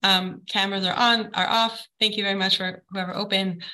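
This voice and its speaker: Using a plain, everyday voice, a woman speaks at a medium pitch. Her pace is moderate and her intonation fairly even. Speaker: soul therapy teacher. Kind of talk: online class lecture. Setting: video call.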